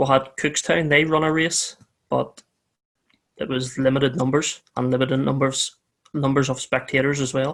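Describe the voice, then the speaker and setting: With a Northern Irish accent, a man speaks at a moderate pace in a fairly high pitch, his intonation flat and monotone. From Northern Ireland. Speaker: motorcycle racer and team owner. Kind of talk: podcast interview.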